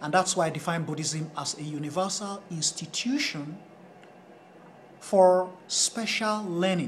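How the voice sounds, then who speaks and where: Ordinary pitch variation comes through over audible room echo. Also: man, high pitch for a man, fairly slow pace. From Nigeria (Edo, Esan-speaking). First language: Esan. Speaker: Buddhist studies lecturer. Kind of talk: lecture. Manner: halting.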